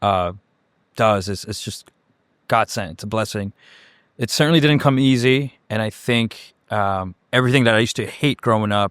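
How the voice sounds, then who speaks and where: With a Chicago accent, a man speaks at a medium pitch and moderate pace with ordinary pitch variation, in a dry, close sound with no echo. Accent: Chicago American English. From Chicago area (Cicero, Illinois), born in Mexico. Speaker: executive director of a heliport. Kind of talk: interview. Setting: on site at a heliport.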